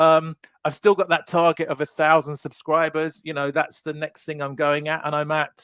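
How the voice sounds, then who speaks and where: Speaking with a British accent, a man has a fairly high pitch and a monotone, flat intonation at a moderate pace. The sound is dry and close with no echo. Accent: mild British. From UK. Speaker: knife YouTuber. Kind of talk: casual chat. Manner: halting, many repeated words.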